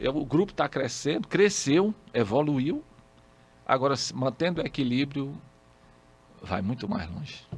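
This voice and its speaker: Speaking at a fairly slow pace with long, frequent pauses, a man uses lively intonation at a fairly high pitch. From Piauí, Brazil (Floriano). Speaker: radio communicator. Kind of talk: interview conversation.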